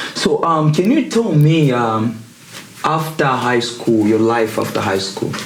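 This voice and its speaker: Over noticeable background noise and audible room echo, a man of medium pitch speaks at a fairly slow pace with ordinary pitch variation. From Africa. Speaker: podcast host. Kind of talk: interview. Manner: casual.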